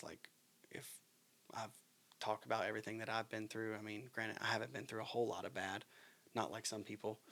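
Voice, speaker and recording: This man has an American accent and vocal fry, speaking at a fairly low pitch. His pace is fairly quick and his intonation fairly even. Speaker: podcast host. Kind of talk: casual chat. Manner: halting.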